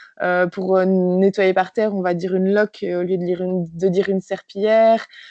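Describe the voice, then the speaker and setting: At a moderate pace, a woman speaks at a medium pitch in a flat, monotone way. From France. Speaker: physiotherapist. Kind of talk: interview. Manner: hesitant, many fillers.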